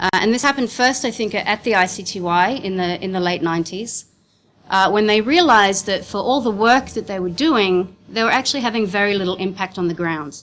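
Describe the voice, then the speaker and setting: A woman with an Australian accent, medium pitch, ordinary pitch variation and a fairly quick pace. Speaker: legal counsel and NGO director. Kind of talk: conference presentation. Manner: fast.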